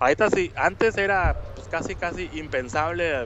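This man keeps a moderate pace. Noticeable background noise can be heard behind him. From Mexico, Monterrey. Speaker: video game podcast guest. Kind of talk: casual chat.

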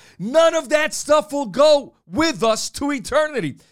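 A male voice at an even, middling speed, captured very cleanly against total silence. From New Bedford, Massachusetts. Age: 40s. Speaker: preacher. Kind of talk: sermon.

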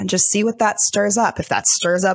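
An unremarkable speaking voice with an American accent, fairly slow pace and ordinary pitch variation, on a very clean recording with a silent background. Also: woman. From US, Delaware. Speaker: life coach. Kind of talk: guided meditation; interview.

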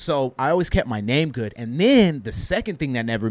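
A man with an ordinary speaking voice uses lively intonation, talking at a moderate pace. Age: 30s. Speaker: entrepreneur, printing business owner. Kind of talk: casual interview.

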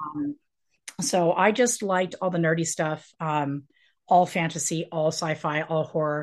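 A woman with an ordinary speaking voice talks in an American accent, fairly low in pitch and with ordinary pitch variation. Her pace is moderate, and the background is quiet. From Colorado, US. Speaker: author and professor. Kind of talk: casual interview chat.

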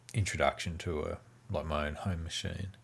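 Somewhat breathy and very deep in pitch, a man with an Australian accent speaks at a moderate pace with fairly even intonation. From Tasmania. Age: 40s. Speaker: game developer. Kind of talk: interview.

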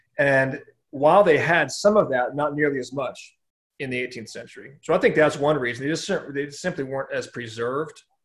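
Speaking in a Californian accent, a man talks at a fairly quick pace with a fairly high pitch and big swings in loudness. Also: ordinary pitch variation. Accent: General American (Californian). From Southern California. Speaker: pastor. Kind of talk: casual interview about church history. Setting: video call.

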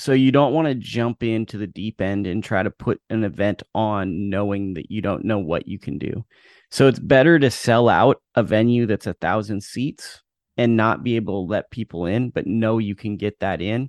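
Against a quiet background, a man talks in a normal speaking voice at a moderate pace and fairly low pitch, with ordinary pitch variation. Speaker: boxing author. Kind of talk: casual interview. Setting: video call.

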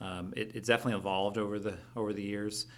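Using a fairly low pitch, a man talks with a Midwestern US accent. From western Iowa. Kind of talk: casual interview.

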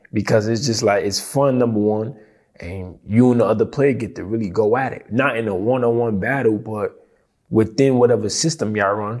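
An unremarkable speaking voice with an American accent, moderate pace and fairly even intonation. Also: man. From United States. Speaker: professional basketball player. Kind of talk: casual interview.

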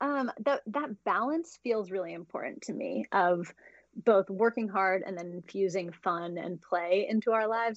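A woman with an American accent has an unremarkable speaking voice at medium pitch, with ordinary pitch variation and a fairly slow pace. The sound is dry and close with no echo, over a quiet background. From US, Idaho. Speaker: money mindset coach and entrepreneur. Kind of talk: interview.

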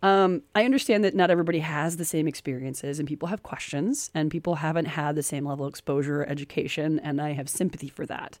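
Pitched very deep and low, a woman rushes along at a very fast pace with hardly any pauses and ordinary pitch variation. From United States. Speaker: podcast host. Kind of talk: casual chat. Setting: radio studio.

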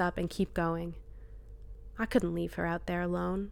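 Moderate pace from a woman at medium pitch, on a very clean recording with a silent background. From New Brunswick, Canada. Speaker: personal essayist. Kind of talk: reading aloud.

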